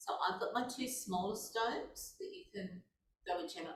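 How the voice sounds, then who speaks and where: A woman with a somewhat breathy voice is heard amid audible room echo. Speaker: movement class instructor. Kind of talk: guided exercise class. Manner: gentle.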